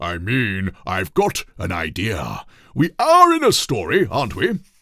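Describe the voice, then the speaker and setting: Using a put-on character voice with a pompous tone, a man at a medium pitch speaks at a fairly slow pace in a very clean recording with a silent background. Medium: read story. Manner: pompous, confidently muddled.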